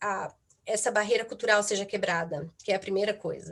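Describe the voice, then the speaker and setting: A woman with a Brazilian accent, fairly high in pitch, with ordinary pitch variation. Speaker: psychotherapist. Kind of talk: talk at online event. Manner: halting, many fillers.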